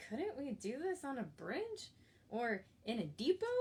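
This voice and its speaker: Using a put-on character voice, a woman speaks at a moderate pace in a high pitch with very wide pitch swings. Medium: read story.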